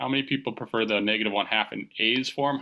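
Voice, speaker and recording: A man is speaking. His pace is very fast. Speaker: high school calculus teacher. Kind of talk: online class lecture. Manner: casual, conversational.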